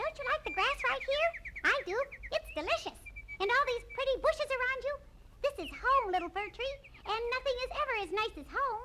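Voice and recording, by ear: A put-on character voice pitched extremely high moves at a fairly quick pace over light background noise.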